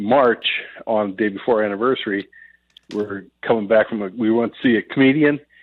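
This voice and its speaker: Here a man speaks at a fairly low pitch with fairly even intonation. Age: 60s. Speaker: caller. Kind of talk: phone-in advice call. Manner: halting.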